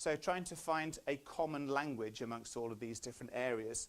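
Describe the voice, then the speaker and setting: The speaker is a man with ordinary pitch variation. He talks at a fairly quick pace. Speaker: business analytics presenter. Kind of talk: presentation to audience. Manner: fast.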